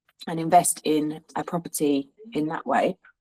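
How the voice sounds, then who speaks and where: A woman with a slight Cockney accent, monotone and flat in intonation, in a dry, close sound with no echo. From suburbs of London. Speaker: hairstylist and rental business owner. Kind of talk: interview. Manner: halting, many fillers.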